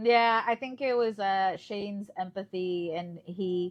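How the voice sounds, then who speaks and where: A woman speaks at a medium pitch with ordinary pitch variation. The background is quiet. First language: Spanish. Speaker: podcast co-host, journalist. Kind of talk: casual chat.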